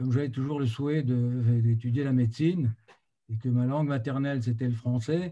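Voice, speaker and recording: His tone is dark and mellow, somewhat breathy, as the man speaks with fairly even intonation. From Morocco, Fez. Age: 60s. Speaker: doctor, community president. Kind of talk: interview answer.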